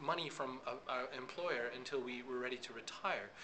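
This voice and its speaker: Background noise is noticeable, and the room echo is audible. A man with an American accent talks at a fairly high pitch. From USA. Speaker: social media consultant. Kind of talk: interview. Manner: fast.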